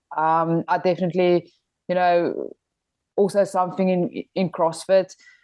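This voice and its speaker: A woman speaks in a South African accent at medium pitch. Her pace is fairly slow and her intonation fairly even. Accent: Afrikaans South African English. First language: Afrikaans. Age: 20s. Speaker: rugby player. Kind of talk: interview.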